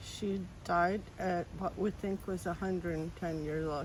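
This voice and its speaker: Speaking at a fairly slow pace, a woman uses a fairly low pitch with vocal fry and monotone, flat intonation. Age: 60s. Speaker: full-time nomad living in her car. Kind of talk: interview answer.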